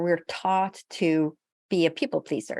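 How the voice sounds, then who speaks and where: The speaker has a Swedish accent, heard on a very clean recording with a silent background and a dry, close sound with no echo. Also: woman. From Sweden. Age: 60s. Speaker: physician and spiritual healer. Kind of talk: interview.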